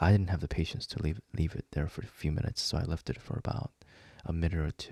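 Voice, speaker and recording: Soft-spoken and somewhat breathy, with a dark, mellow tone, lively intonation and a fairly quick pace, in a dry, close sound with no echo. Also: man. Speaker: video creator. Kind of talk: casual chat. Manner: halting.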